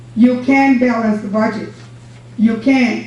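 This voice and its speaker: A woman's fairly high, flat, monotone voice amid audible room echo and noticeable background noise. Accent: American. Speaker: former county judge. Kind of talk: public comment at county meeting. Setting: county commissioners' court meeting. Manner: loud; forceful.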